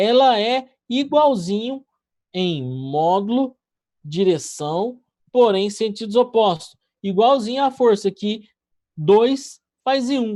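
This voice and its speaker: A man speaks at a very slow pace with long, frequent pauses, his high pitch and dark, mellow tone carried by lively intonation. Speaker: physics teacher. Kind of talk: online class lecture. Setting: live online class. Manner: casual, conversational.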